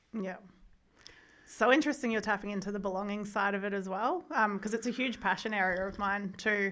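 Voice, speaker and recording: A woman with an Australian accent talks at a fairly quick pace, her tone bright and sharp. Her pitch sits in the medium range and varies in an ordinary way. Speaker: podcast host, education and trauma institute director. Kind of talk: casual interview. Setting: studio.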